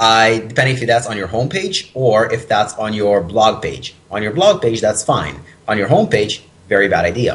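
The man's voice sits at a medium pitch, with noticeable background noise behind it. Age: 20s. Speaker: personal training business owner and author. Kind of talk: interview.

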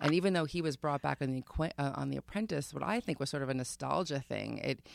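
Very fast talk from a woman with a very deep, low voice and lively intonation. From Long Island, New York. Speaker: comedian and journalist. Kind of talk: casual chat.

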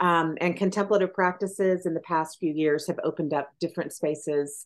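With an American accent, a woman speaks in an ordinary speaking voice at a fairly low pitch. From US South, East Tennessee. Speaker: author and English professor. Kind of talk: interview.

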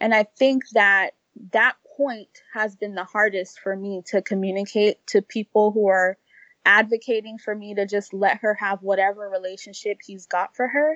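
A woman has a normal speaking voice at a medium pitch, moving at a moderate pace with fairly even intonation. Her loudness swings widely, and the sound is dry and close with no echo. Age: 30s. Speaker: single mother and blogger. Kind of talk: interview.

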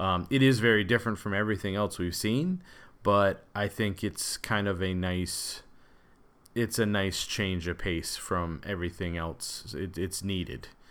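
At a fairly slow pace and with ordinary pitch variation, this is a plain, everyday voice. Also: man. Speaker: podcast co-host. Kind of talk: casual conversation, film discussion.

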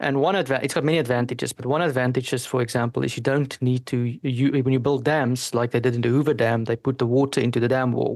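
A man with a South African accent, very fast pace and fairly even intonation, set against a quiet background. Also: medium pitch for a man, hardly any pauses. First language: Afrikaans. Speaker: energy analyst and engineer. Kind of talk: casual interview.

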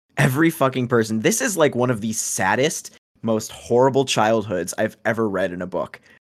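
Moderate pace from a man with an ordinary speaking voice, medium pitch and ordinary pitch variation. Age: 20s. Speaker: book podcast guest. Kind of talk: casual chat.

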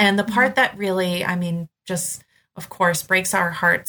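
Fairly even in intonation, this voice has an American accent and a bright, sharp tone. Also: woman. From Boston, Massachusetts. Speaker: nonprofit executive director. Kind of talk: podcast interview.

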